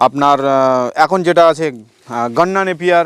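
A man speaks at a high pitch. The sound is dry and close, with no echo. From West Bengal, North 24 Parganas. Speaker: goat farmer. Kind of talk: interview. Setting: outdoors.

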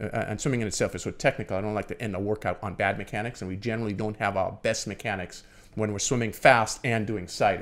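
A man with a fairly low pitch talks very fast, keeping his intonation fairly even. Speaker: swim and triathlon coach; triathlon coach. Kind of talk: casual chat. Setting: studio. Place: studio. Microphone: studio mic.

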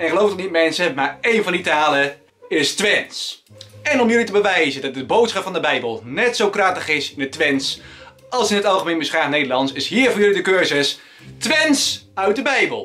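Over music in the background, a raised, projected voice moves at a moderate pace with very wide pitch swings. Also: man, high pitch for a man. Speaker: YouTuber. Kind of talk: casual talk to camera. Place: home room. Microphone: phone near.

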